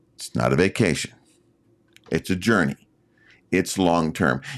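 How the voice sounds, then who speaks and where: A man speaks at a fairly slow pace in a very deep, low pitch with vocal fry. His loudness swings widely, and he takes long, frequent pauses. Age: 60s. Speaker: YouTube creator. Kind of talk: casual talk to camera, live stream. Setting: live stream.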